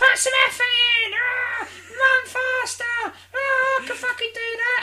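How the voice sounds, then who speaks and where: In a put-on character voice, squeaky and extremely high-pitched, the speaker delivers flat, monotone lines at a fairly slow pace over light background noise. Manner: yelling, bossy, taunting.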